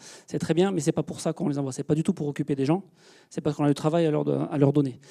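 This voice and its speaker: Speaking at a very fast pace, a man with a fairly high pitch and a dark, mellow tone keeps his intonation fairly even in a dry, close recording with no echo. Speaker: space engineer, project manager. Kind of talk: public lecture. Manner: hesitant, many fillers.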